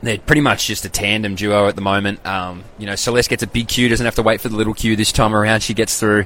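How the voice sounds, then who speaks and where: Talking at a very fast pace, a man with an Australian accent uses a fairly low pitch. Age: 20s. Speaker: athletics podcaster and former athlete. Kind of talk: casual live-stream commentary. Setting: live stream. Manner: animated.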